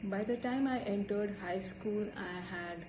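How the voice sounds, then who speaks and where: In an Indian accent, a woman speaks at a moderate pace amid noticeable background noise and audible room echo. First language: Hindi. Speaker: student. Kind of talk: personal storytelling.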